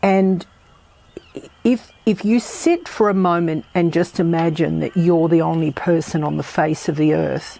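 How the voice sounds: A woman talks at a fairly slow pace, her pitch low with a dark, mellow tone. Her intonation stays fairly even, and vocal fry comes through.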